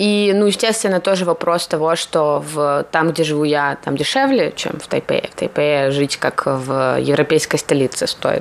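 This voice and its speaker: Noticeable background noise sits under a woman speaking with a very deep, low pitch and hardly any pauses. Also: ordinary pitch variation, moderate pace. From Russia. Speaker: designer and graduate student. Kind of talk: interview.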